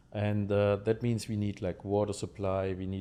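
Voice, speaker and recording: A man with a German accent speaks at a fairly low pitch in a dark, mellow tone. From Germany. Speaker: lottery game designer. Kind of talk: podcast interview. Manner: halting, many fillers.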